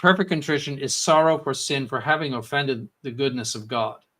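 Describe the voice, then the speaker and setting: A man at a moderate pace, fairly high in pitch, with a bright, sharp tone on a very clean recording with a silent background. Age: 70s. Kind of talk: Q&A livestream.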